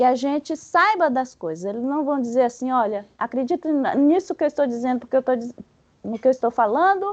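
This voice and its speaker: A woman with a Bahian accent, high-pitched, with lively intonation at a fairly quick pace. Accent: Bahian Brazilian Portuguese. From Bahia, Brazil. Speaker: spiritist study presenter. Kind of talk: lecture. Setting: spiritist center meeting with audience. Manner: halting; animated.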